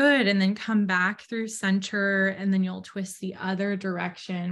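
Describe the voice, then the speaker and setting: A woman speaks at a fairly slow pace in a calm, soothing tone, her medium-pitched voice somewhat breathy and her intonation monotone and flat. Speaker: student speaker and yoga guide. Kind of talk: guided meditation. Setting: video call. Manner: slow, calm, soothing; gentle, instructive. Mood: calm, gentle, soothing. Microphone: video call.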